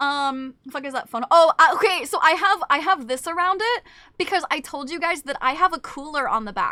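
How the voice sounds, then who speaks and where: A woman speaks in a raised, projected voice with a bright, sharp tone. Her pace is fairly quick and her intonation lively. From Canada. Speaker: VTuber streamer. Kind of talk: casual livestream chat. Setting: livestream. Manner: fast.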